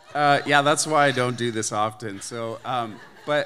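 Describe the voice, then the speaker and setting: The speaker has a Canadian accent and a bright, sharp tone. The pace is fairly slow. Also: man. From Canada. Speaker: church member giving testimony. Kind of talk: testimony.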